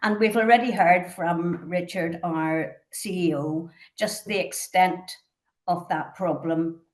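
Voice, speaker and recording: With a Northern Irish accent, a woman talks at a fairly low pitch. Her pace is fairly slow. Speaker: charity trustee chairing a conference panel. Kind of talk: conference panel introduction. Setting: conference. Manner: formal.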